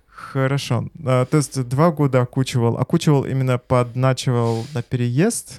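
A man's plain, everyday voice at medium pitch, fairly even in intonation and moderate in pace, in a dry, close sound with no echo. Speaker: host. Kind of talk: casual interview. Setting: studio.

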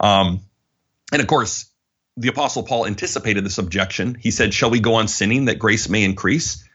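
Here a man with an unremarkable speaking voice talks fairly quickly at a fairly low pitch. His loudness stays very even, and his pitch varies in an ordinary way. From Alberta, Canada. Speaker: publisher and author.

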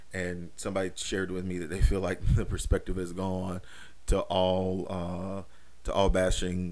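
A man with a very deep, low pitch speaks in a monotone, flat intonation at a moderate pace. Room echo is audible. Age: 30s. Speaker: podcast host. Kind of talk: casual monologue. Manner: many fillers and repetitions.

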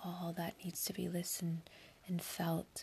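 Somewhat breathy and pitched in the middle range, a woman speaks fairly slowly in a soothing, calm tone. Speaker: meditation podcast host. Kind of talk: guided meditation. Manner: slow, soothing, calm.

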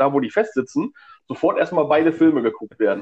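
His voice sits fairly high. The man talks at a fairly quick clip. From northern Germany, Stemwede area. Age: 40s. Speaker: podcast co-host, film fan. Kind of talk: casual chat. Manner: hesitant, many fillers.

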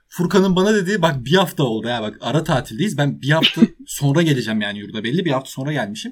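A man's fairly high voice with very wide pitch swings and vocal fry, at a very fast pace. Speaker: podcast co-host, university student. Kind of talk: casual chat.

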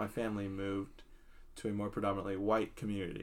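Speaking at a moderate pace, a man has an ordinary speaking voice with fairly low pitch. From US. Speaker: podcast co-host. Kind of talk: casual chat. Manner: casual, frequent filler 'like'.

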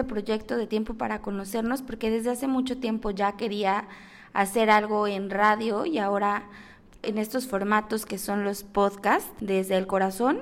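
On a very clean recording with a silent background, a woman with a Mexico City accent speaks with ordinary pitch variation. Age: 20s. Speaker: podcast host. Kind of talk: podcast monologue.

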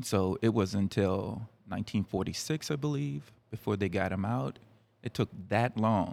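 An unremarkable speaking voice from a man with an American accent, fairly low in pitch, with lively intonation at a moderate pace. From Fredericksburg area, Virginia. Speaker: community member guest. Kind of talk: discussion.

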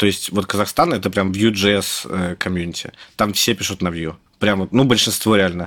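A man speaks in an unremarkable speaking voice. His pace is moderate and his pitch variation ordinary. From Russia, Moscow. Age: 30s. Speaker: software developer. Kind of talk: casual interview.

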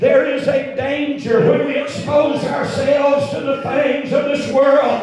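Music plays behind a man whose pitch is extremely high. He talks fairly slowly and animatedly, with hardly any pauses. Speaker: preacher. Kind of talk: sermon. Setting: church. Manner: animated, call-and-response preaching, full flow.

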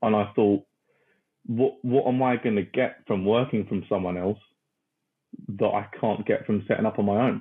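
A man with a British accent, fairly low pitch, moderate pace, very even loudness, fairly even intonation and long, frequent pauses. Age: 20s. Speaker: recruitment company founder. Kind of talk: interview. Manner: talkative.

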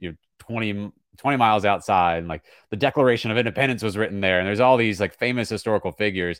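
A man with an ordinary speaking voice and an American accent, fairly low in pitch with ordinary pitch variation, on a very clean recording with a silent background. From small-town Virginia. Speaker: play-by-play sports broadcaster. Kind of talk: podcast interview.

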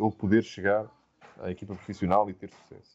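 A man is speaking here. His pace is fairly quick. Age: 30s. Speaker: football coach. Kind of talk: interview.

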